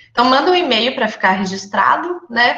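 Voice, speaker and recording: A woman's fairly quick speech moves with lively intonation. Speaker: nursing lecturer. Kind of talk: online lecture. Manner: fast.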